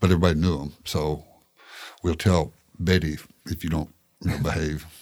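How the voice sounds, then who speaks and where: A man with a Tennessee accent speaks at a very deep, low pitch and a moderate pace. His delivery is monotone and flat, with long, frequent pauses. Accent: Tennessee Southern. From Tennessee, Shelbyville. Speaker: photojournalist. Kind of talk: casual interview chat.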